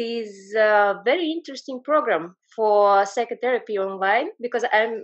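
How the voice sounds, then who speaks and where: A woman with a non-native accent speaks at a moderate pace, her fairly high voice showing ordinary pitch variation. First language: not English. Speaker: psychotherapist. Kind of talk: audience comment in online seminar. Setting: video call. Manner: halting.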